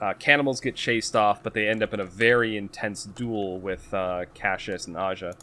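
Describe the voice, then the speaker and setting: In a Boston accent, a man speaks at a fairly low pitch and a moderate pace with fairly even intonation. The recording is very clean, with a silent background. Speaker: podcast co-host. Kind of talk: casual chat, book recap.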